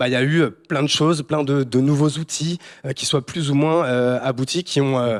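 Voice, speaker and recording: A man's unremarkable speaking voice, fairly high in pitch, with ordinary pitch variation and a moderate pace, in a very clean, silent recording with a dry, close sound and no echo. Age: 30s. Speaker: startup founder and CEO. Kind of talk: panel discussion. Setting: stage with audience.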